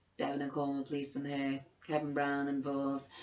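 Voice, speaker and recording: A woman with a Liverpool accent at a fairly quick pace, over noticeable background noise. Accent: Scouse. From Liverpool, England. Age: 50s. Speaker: vlogger. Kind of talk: angry personal testimony. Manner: animated; halting.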